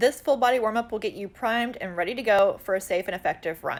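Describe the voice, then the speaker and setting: A woman's fairly high, normal speaking voice, fairly quick with lively intonation, on a very clean recording with a silent background. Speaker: fitness instructor. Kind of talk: tutorial. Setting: outdoors.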